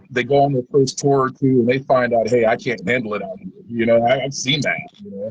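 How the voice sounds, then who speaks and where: Somewhat breathy, a man speaks with an American accent. His pitch is medium. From Kansas. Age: 40s. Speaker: touring musician. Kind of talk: interview.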